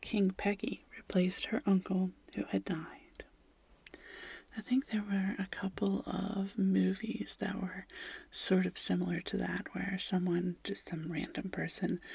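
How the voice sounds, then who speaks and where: A soft-spoken woman whispers, her voice carrying vocal fry. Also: fairly slow pace. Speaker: ASMR creator. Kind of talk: fact reading, gentle narration with chatty asides. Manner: soft-spoken, transitioning toward a whisper.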